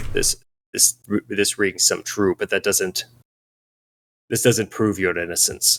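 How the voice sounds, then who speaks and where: Using a put-on character voice, a man speaks fairly slowly at a fairly low pitch, leaving long, frequent pauses. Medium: actual play. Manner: measured, suspicious.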